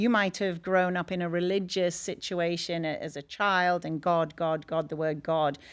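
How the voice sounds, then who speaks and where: With an English accent, a woman speaks at a fairly low pitch and a fairly slow pace. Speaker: energy healer. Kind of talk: podcast interview. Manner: animated.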